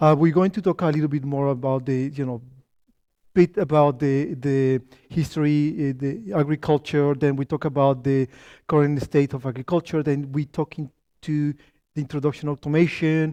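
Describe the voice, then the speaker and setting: Speaking at a moderate pace in a Spanish accent, a man with a fairly high pitch and a dark, mellow tone keeps his intonation fairly even, recorded dry and close with no echo against a quiet background. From Colombia. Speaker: company founder and tech lead giving a talk. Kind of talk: lecture. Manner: halting, many fillers and restarts.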